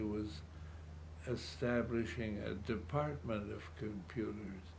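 A somewhat breathy voice moves at a very slow pace with very wide pitch swings over light background noise. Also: man. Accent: Chicago. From US Midwest, Chicago. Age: 80s+. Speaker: retired city politician. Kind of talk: elderly man reminiscing about a century of change in an interview. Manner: halting, repeating words as he gathers his thoughts; quietly marveling, earnest wonder. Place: home room.

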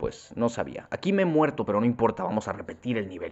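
A man with a Mexican accent at a medium pitch and a fairly quick pace, very wide pitch swings, over noticeable background noise. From Mexico. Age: 20s. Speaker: gaming youtuber. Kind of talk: gameplay commentary. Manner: casual, improvised.

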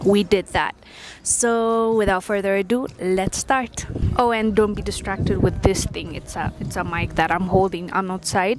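At a moderate pace, a woman speaks with fairly even intonation in a dry sound with no echo, over noticeable background noise. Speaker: vlogger. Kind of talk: casual vlog chat. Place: street. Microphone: lapel.

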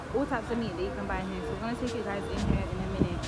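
Loud music plays in the background as a woman talks. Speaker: vlogger. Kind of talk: casual vlog chat. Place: market. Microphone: phone near.

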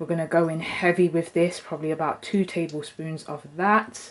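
A woman's fairly low, monotone voice with flat intonation. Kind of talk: tutorial. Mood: friendly, chatty. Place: kitchen.

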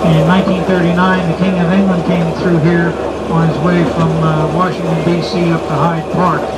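Moderate pace over loud background noise. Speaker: tourist railroad tour guide. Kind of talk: guided tour commentary. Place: train.

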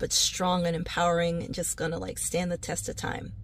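Her tone is animated as this woman speaks at a moderate pace. The sound is dry, with no echo. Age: 40s. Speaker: real estate agent. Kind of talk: casual comedic vlog monologue. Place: car. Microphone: phone near.

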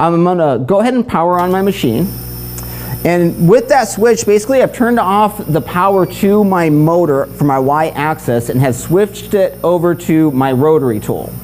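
Over light background noise, a man talks in a high pitch. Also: moderate pace. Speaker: product trainer. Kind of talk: tutorial. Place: workshop.

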